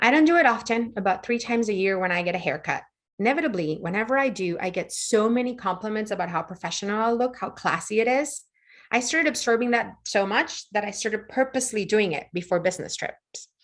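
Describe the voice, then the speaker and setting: In a Spanish accent, a woman with fairly high pitch talks at a very fast pace with lively intonation against a quiet background. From Puerto Rico. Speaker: lighting professional, conference presenter. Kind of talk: conference presentation. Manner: fast-paced.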